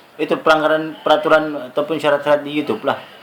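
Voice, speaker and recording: In a Sabah accent, a man speaks at a fairly quick pace. Noticeable background noise is present. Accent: Sabah Malay. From Sabah, Malaysia. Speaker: YouTuber. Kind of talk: tutorial.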